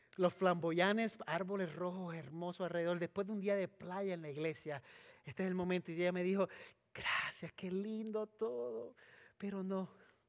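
Moderate pace and ordinary pitch variation from a man with a high voice. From Puerto Rico. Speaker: pastor. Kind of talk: sermon.

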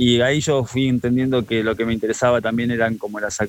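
This man talks at a very fast pace in a medium pitch. His intonation is monotone and flat. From Argentina, La Plata. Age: 40s. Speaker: photographer. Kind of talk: radio interview. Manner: halting.

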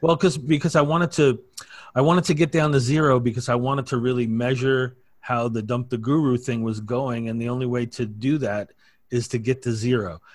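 Over a silent background in a very clean recording, a man speaks at a fairly quick pace in a normal speaking voice, medium in pitch with ordinary pitch variation. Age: 50s. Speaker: affiliate marketer. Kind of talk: casual chat.

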